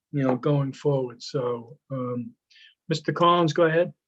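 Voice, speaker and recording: This man has a plain, everyday voice. He speaks at a moderate pace with fairly even intonation. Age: 60s. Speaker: school committee chairman. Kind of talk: public meeting remarks.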